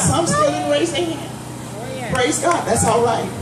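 A woman speaks at a fairly slow pace amid loud background noise and audible room echo. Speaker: evangelist preacher. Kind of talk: fervent outdoor festival prayer and altar call, call-and-response exhortation. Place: street.

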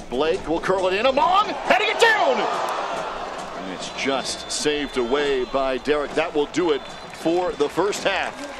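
Noticeable background noise accompanies a man with a high pitch who speaks fairly slowly with lively intonation. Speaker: play-by-play commentator. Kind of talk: live match commentary.

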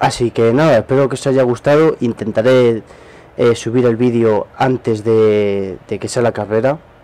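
At a fairly slow pace, a man talks in a medium pitch. His tone is dark and mellow, with fairly even intonation. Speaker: gaming youtuber. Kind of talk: gameplay commentary. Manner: casual, hesitant with repetitions.

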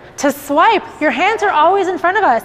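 A moderate pace and lively intonation from a woman. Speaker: fitness instructor. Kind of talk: workout instruction. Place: studio. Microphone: lapel.

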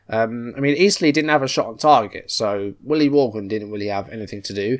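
Against a quiet background, a man with an English accent talks fairly quickly with lively intonation. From England. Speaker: football manager game youtuber. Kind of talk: gameplay commentary. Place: home room.

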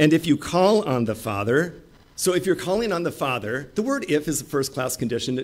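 A man's voice with very wide pitch swings at a moderate pace. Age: 50s. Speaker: pastor. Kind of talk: sermon. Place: church. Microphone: podium.

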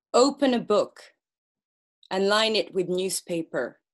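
Against a quiet background, a woman talks at a very slow pace. Her intonation is lively. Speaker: poet and performance artist; poet. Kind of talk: experimental poetry performance. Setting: video call. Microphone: webcam.

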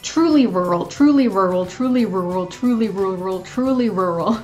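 Fairly slow speech with faint music in the background. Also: woman. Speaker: vlogger. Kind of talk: casual vlog chat with tongue twisters. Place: home room. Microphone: webcam.

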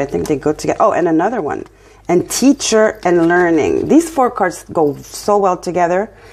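Using lively intonation, a woman of medium pitch talks at a moderate pace with a slight French accent. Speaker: tarot reader. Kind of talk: tarot reading. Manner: casual, conversational. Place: home room. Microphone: phone near.

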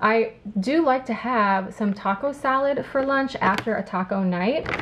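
A woman with an American accent talks with ordinary pitch variation against noticeable background noise. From Illinois. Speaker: lifestyle YouTuber. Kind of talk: grocery haul video. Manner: casual chatty. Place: kitchen.

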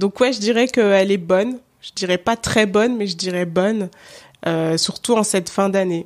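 On a very clean recording with a silent background, a woman uses a normal speaking voice at a medium pitch, with ordinary pitch variation and a moderate pace. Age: 30s. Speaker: podcaster. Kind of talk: interview.

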